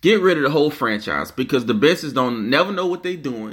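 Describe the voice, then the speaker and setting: With a New Orleans accent, the speaker talks at a moderate pace in an animated tone, with lively intonation and vocal fry. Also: man. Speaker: podcast host. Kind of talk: casual sports rant.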